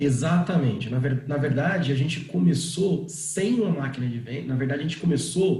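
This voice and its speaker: With hardly any pauses, a man speaks at a moderate pace in a normal speaking voice. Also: fairly high pitch for a man, lively intonation. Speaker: startup founder and CEO. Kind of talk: online talk on pricing.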